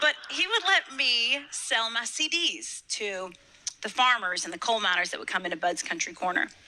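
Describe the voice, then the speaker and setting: There is noticeable background noise behind this woman. She has a fairly high pitch and a Kentucky accent. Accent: Southern US (Kentucky). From US South, Western Kentucky. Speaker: motivational speaker. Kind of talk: inspirational speech. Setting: stage with audience.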